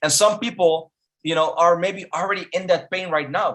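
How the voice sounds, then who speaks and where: A man with a non-native accent and a high pitch speaks in an animated tone at a moderate pace. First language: not English. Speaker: online marketing instructor. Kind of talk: webinar presentation. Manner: animated, motivational; repeats words, halting.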